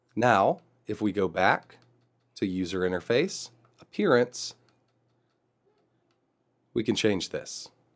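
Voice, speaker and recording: Fairly low male voice at a very slow pace, with long, frequent pauses and ordinary pitch variation. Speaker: retro gaming tech youtuber. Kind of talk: tech tutorial narration.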